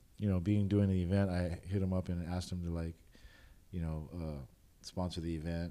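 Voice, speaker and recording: This man's very deep, low voice has a dark, mellow tone and a monotone, flat intonation, moving at a fairly quick pace despite long, frequent pauses. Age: 40s. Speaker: DJ and event promoter. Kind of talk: casual chat. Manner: laughs often.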